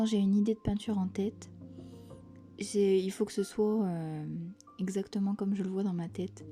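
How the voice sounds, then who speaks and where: A soft-spoken woman's calm, medium-pitched voice at a moderate pace, fairly even in intonation, with music in the background. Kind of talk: casual talk to camera, art vlog. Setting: home, quiet cozy ASMR-style recording. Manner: soft-spoken, calm.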